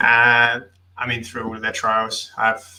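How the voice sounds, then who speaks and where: Medium-pitched male speech at a moderate pace against noticeable background noise. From England. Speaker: podcast guest panelist. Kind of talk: casual chat.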